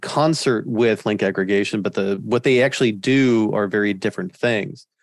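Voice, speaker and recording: In a plain, everyday voice, a man talks at medium pitch and a fairly quick pace with ordinary pitch variation, on a very clean recording with a silent background. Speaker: network instructor. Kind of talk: technical interview.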